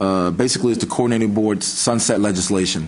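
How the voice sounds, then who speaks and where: Over noticeable background noise and audible room echo, a man speaks very fast at a medium pitch. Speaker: state agency official. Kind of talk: committee meeting presentation. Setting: meeting room, streamed online. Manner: loud.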